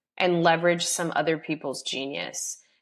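With an American accent, a woman talks at a moderate pace and a fairly low pitch. She has an unremarkable speaking voice, and the background is quiet. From US South. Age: 30s. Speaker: real estate investor. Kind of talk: interview.

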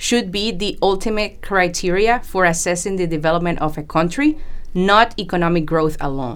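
The speaker has a Spanish accent and keeps a moderate pace. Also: woman. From Panama. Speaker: engineer and project manager. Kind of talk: podcast interview.

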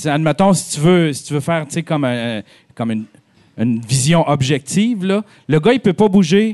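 A man with an unremarkable speaking voice and a fairly high pitch talks at a moderate pace. His intonation is lively, and the sound is dry and close with no echo. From Abitibi-Témiscamingue, Quebec. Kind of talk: casual chat. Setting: stage with live audience.

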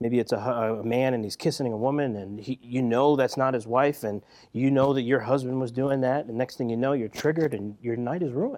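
A man talks at a fairly quick pace with hardly any pauses. He has an unremarkable speaking voice at a medium pitch. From US Northeast, West Philadelphia. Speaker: counselor. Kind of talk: casual chat.

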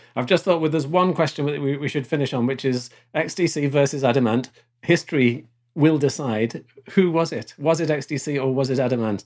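A man speaks at a fairly quick pace in a plain, everyday voice. His pitch is fairly high, with ordinary pitch variation. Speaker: podcast host. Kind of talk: casual chat. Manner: chatty, laughs often.

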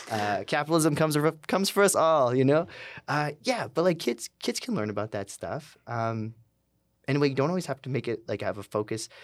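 With an ordinary speaking voice, a man talks at a fairly quick pace with a fairly high pitch and lively intonation. The recording is very clean, with a silent background. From Calgary, Canada. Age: 30s. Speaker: tattoo artist and burlesque performer. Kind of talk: interview.

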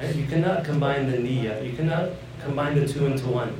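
Lively in intonation, a man with an American accent speaks amid noticeable background noise and audible room echo. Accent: American English with Islamic Arabic terms. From Northern Virginia, US; Afghan refugee family. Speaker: Islamic scholar. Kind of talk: religious lecture. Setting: mosque audience of youth.

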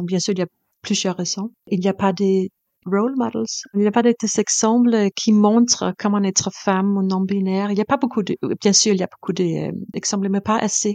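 A woman's medium-pitched voice with a Danish accent, dark and mellow in tone, dry and close with no echo, over a quiet background. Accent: Danish accent in French, sing-song. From Denmark. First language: Danish (speaking French). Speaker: composer and performer. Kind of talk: interview. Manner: halting, hesitant non-native French.

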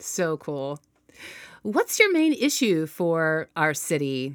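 A woman with lively intonation at a very slow pace. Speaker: podcast host. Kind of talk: interview conversation.

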